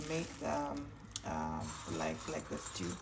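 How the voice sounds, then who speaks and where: Noticeable background noise and audible room echo around a woman speaking at a moderate pace. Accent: Namibian. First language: Oshiwambo. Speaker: cooking vlogger. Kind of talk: cooking tutorial. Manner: halting, many fillers and repeats.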